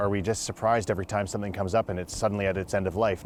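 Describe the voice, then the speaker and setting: A man speaks at a fairly low pitch with a Canadian accent. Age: 30s. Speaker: city council candidate. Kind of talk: interview.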